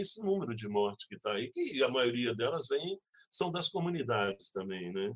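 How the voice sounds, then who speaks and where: A man at a moderate pace. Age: 60s. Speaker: community organizer. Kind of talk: interview, casual. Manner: halting, repeats words.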